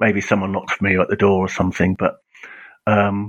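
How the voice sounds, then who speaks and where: This man speaks with an English accent at a fairly low pitch. His pace is fairly quick and his intonation fairly even. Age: 50s. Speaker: comics author. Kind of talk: casual interview.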